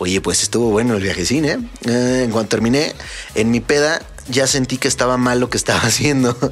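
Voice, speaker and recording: Music plays in the background as a man with a Mexican accent talks at a fairly quick pace and medium pitch, in an animated tone with ordinary pitch variation and very even loudness. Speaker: electronic music podcast host and DJ. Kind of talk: casual chat.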